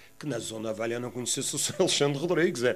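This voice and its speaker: A man's voice shows ordinary pitch variation while music runs in the background. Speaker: former football club director. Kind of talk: interview testimony. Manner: halting, repeats words.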